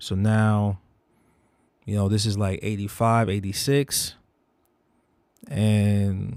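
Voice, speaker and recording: A man speaks at a very slow pace with long, frequent pauses and a fairly low pitch, on a very clean recording with a silent background. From Bronx, New York (born Jamaica, moved at 5). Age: 40s. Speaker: tattoo artist. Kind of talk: personal vlog monologue. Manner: casual, rambling with many fillers.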